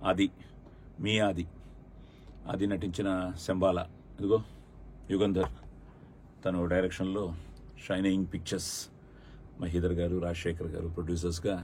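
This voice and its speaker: A man speaks in a very deep, low voice that is somewhat breathy, with a monotone, flat intonation. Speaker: film actor. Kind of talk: film trailer launch promo talk.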